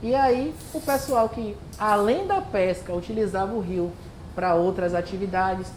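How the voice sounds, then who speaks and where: A woman talks at a fairly slow pace, her pitch varying in an ordinary way, while audible room echo and noticeable background noise fill the recording. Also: medium pitch for a woman. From Bahia, Brazil (Santo Amaro, Recôncavo). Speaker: environmental educator, workshop presenter. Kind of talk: community workshop presentation.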